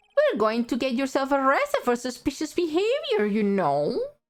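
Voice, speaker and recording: In a put-on character voice, a woman talks at a high pitch and a moderate pace. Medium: virtual streamer. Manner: pompous, patronizing.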